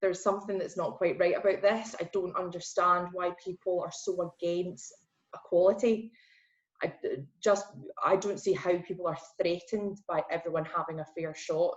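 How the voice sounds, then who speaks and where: In a Glaswegian accent, a woman speaks at a moderate pace with a medium pitch and monotone, flat intonation. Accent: Glaswegian Scottish. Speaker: PR account manager. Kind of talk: podcast interview. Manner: casual, hesitant with many fillers.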